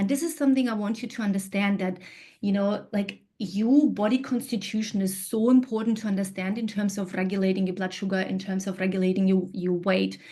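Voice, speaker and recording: Somewhat breathy and at medium pitch, a woman talks at a fairly quick pace with hardly any pauses. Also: ordinary pitch variation. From Kyrgyzstan. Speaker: integrative health practitioner. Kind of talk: presentation.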